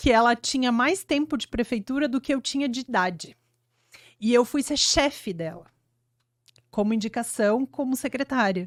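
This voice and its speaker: In a southern Brazilian accent, a high-pitched woman speaks at a moderate pace with long, frequent pauses, her sound dry and close with no echo on a very clean recording with a silent background. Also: lively intonation. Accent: gaúcho accent, noticeable. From Rio Grande do Sul, Brazil (Flores da Cunha, Serra Gaúcha). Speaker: urban planning engineer. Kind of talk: podcast interview.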